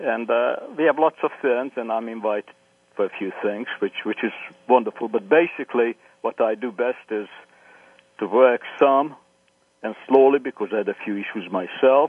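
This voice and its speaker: A man speaks with a Hungarian accent. His speech has long, frequent pauses. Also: medium pitch for a man, ordinary pitch variation, moderate pace. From Hungary. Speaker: historian, professor. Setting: phone call.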